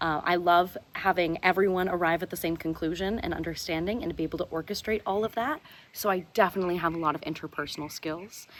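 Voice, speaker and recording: A woman talks at a very fast pace in an American accent. Her pitch sits fairly low. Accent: American, with a twang. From Southern California, US. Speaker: stage manager, reality game contestant. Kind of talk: video self-introduction. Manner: animated.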